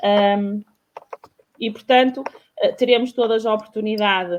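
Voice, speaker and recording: Her voice fairly high, a woman speaks at a fairly slow pace with fairly even intonation. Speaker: talk show host. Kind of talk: panel discussion. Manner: halting, many fillers.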